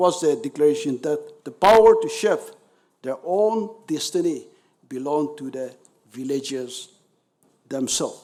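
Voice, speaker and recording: Speaking in a Nagaland accent, the voice has a dark, mellow tone and lively intonation, broken by long, frequent pauses. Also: man, fairly high pitch for a man, moderate pace, big swings in loudness. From Nagaland, India. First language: Naga dialect. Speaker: speaker at memorial event. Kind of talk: formal commemorative speech. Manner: formal.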